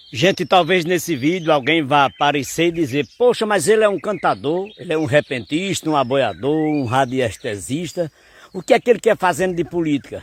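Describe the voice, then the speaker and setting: Lively intonation at a moderate pace, in a dry, close recording with no echo. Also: man, fairly high pitch for a man, hardly any pauses. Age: 60s. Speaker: poet and folk singer. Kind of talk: political commentary. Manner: animated.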